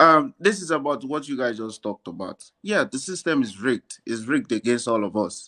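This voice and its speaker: A man speaks quickly with hardly a pause, his medium pitch swinging very widely. His tone is bright and sharp, and the sound is dry and close with no echo. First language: not English. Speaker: caller. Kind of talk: casual chat. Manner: animated.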